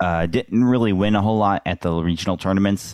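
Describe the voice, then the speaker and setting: Spoken in a Midwestern American accent, the voice has a dry, close sound with no echo. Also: man. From US Midwest, St. Louis, Missouri. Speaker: blind hockey and beep baseball player. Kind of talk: casual interview.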